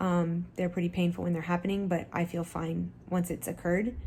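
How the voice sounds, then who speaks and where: A woman speaks at a fairly low pitch in a monotone, flat intonation. Her voice is somewhat breathy, at a moderate pace. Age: 40s. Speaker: medical professional sharing health story. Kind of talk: personal vlog testimony. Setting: lying in bed.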